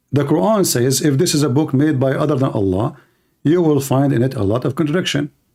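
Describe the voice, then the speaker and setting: The pace is fairly quick, with ordinary pitch variation. The tone is dark and mellow, with vocal fry. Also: man. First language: not English. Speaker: livestream debate host. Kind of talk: heated debate. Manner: animated; halting.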